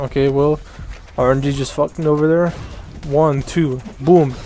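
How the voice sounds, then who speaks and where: Music plays in the background as a man talks at a moderate pace. His pitch is fairly high and his intonation fairly even. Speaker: gaming youtuber. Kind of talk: tutorial. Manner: casual, halting with fillers.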